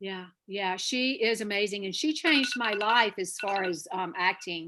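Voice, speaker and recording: A bright, sharp tone at a moderate pace, with ordinary pitch variation. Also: woman, medium pitch for a woman. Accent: American. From North Carolina. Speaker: actor. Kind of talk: interview.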